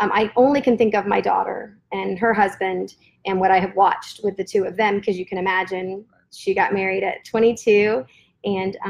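A woman with a plain, everyday voice and an American accent speaks at a moderate pace and medium pitch, her intonation fairly even and her loudness swinging widely. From Florida, US South. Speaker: guest sharing faith story. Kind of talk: testimony.

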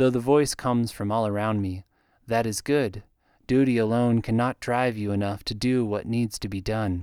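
The delivery is an unforced reading voice, and its intonation is fairly even.

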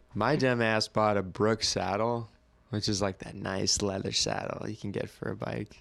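A man's normal speaking voice, fairly low-pitched with an American accent, fairly even intonation and a moderate pace. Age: 20s. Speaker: graphic designer and skateboarder. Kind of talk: casual chat. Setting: studio.

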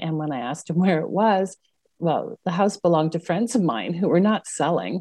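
A woman with a Montreal accent speaks at a moderate pace with a fairly low pitch and a dark, mellow tone. Her intonation is lively, and the sound is dry and close with no echo. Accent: Montreal anglophone Canadian English. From Quebec, Montreal. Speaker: city councillor. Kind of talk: casual interview.

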